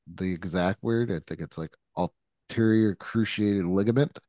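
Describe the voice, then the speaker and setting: A man speaks fairly slowly in a fairly low pitch with ordinary pitch variation, a plain, everyday voice. The background is quiet. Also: dry, close sound with no echo. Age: 40s. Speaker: sports podcast co-host. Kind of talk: casual chat.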